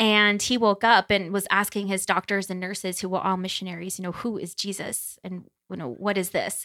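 In a very clean recording with a silent background, a woman with an American accent speaks at a fairly quick pace and medium pitch, her tone bright and sharp, her intonation fairly even and with hardly any pauses. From New Jersey and Kansas City. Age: 30s. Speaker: Air Force veteran and theology student. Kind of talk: casual interview.

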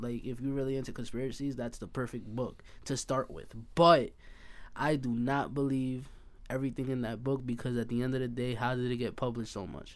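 Speaking at a very fast pace, a man with an American accent uses a medium pitch. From Hempstead, Long Island, New York. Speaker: podcast guest. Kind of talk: casual chat.

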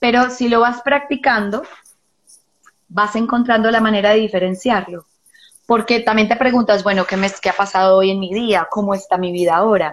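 With a plain, everyday voice, a woman talks at a moderate pace, her fairly high pitch showing ordinary pitch variation. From Colombia, Medellín. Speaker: psychologist and therapist. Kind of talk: casual chat. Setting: video call.

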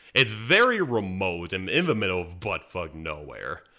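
Very wide pitch swings run through a man's fairly low, bright, sharp voice at a fairly slow pace in a very clean recording with a silent background. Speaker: podcast host. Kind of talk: casual podcast chat.

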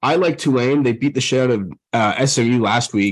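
At a moderate pace, a man of medium pitch speaks in a plain, everyday voice with ordinary pitch variation. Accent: American. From Texas, Dallas. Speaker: sports betting podcast host. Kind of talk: casual chat.

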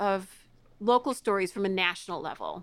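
A woman with a Midwestern accent speaks at a moderate pace. The recording is very clean, with a silent background. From US Midwest, Chicago area (DeKalb). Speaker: former teacher and editor. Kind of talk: casual interview. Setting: at home.

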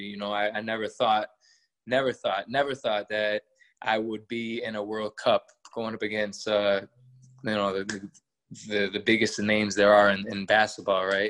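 With an American accent, a man talks at a moderate pace in a fairly low, monotone voice with flat intonation, recorded with a dry, close sound and no echo. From Massachusetts, Worcester. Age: 30s. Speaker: professional basketball player. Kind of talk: interview.

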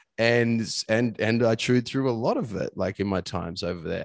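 A man talks at a fairly quick pace in an Australian accent, with ordinary pitch variation. The sound is dry and close with no echo, and the background is quiet. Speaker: performance coach. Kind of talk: casual chat.

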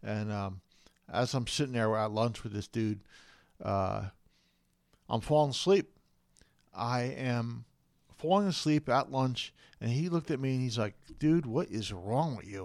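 A man with an American accent, medium pitch and lively intonation, at a fairly slow pace with long, frequent pauses. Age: 40s. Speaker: podcast host with multiple sclerosis. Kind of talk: personal story monologue. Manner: hesitant, many fillers.

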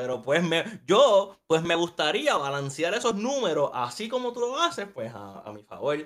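With hardly any pauses, a man with a high pitch speaks at a fairly slow pace, his pitch swinging very widely and his loudness shifting in big swings. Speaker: podcast co-host. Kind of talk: casual chat.

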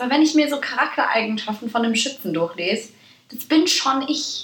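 A woman with a high pitch speaks at a fairly quick pace in an animated tone and lively intonation, with audible room echo and noticeable background noise. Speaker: podcast co-host. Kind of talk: casual chat. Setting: studio-like home recording with two mics. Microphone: poor recording quality, early episode.

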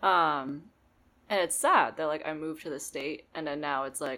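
A woman speaks in an American accent with a very deep, low pitch. Her tone is bright and sharp, and her pace is moderate. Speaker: podcast guest. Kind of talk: casual chat.

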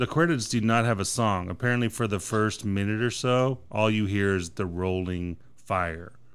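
A man's normal speaking voice, fairly low in pitch, at a moderate pace with hardly any pauses and very even loudness, in a very clean recording with a silent background. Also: ordinary pitch variation. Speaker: movie podcast host. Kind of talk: casual chat. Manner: casual, swears often.

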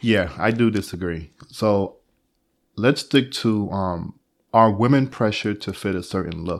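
At a fairly slow pace, a man talks in an unremarkable speaking voice, fairly low in pitch, with ordinary pitch variation. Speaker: podcast co-host. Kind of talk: casual conversation.

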